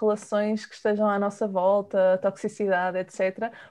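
A woman talks at a moderate speed. Nothing much stirs in the quiet background. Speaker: podcast host and nutritionist. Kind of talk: interview.

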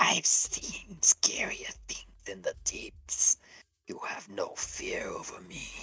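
Drawn out at a very slow pace, a put-on character voice hisses at an extremely high pitch. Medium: actual play. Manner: hissing, menacing, scornful.

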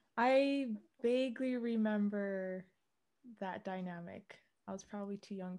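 A woman's dark, mellow tone at a medium pitch, with a Canadian accent. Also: big swings in loudness. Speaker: podcast host. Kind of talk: casual chat.

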